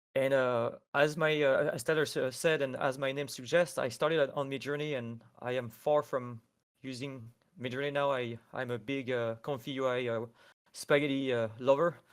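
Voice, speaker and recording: Medium-pitched male speech in a French accent, with fairly even intonation. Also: moderate pace. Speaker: AI artist. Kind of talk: tutorial. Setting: live stream.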